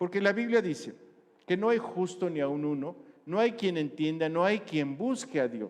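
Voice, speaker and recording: The man's high-pitched voice has lively intonation and moves at a fairly slow pace. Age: 60s. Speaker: pastor. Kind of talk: sermon.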